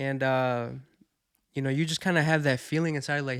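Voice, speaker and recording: A man's fairly high voice, slightly Spanish-accented, at a fairly quick pace with flat, monotone intonation, on a very clean recording against a silent background. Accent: slight Spanish. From Mexico, raised in the US from age five. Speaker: podcast guest, childhood friend. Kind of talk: casual chat.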